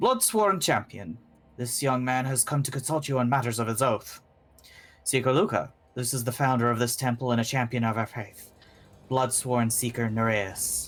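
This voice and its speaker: A man's quiet, raspy put-on character voice at a medium pitch and a moderate pace. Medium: actual play. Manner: terse, commanding.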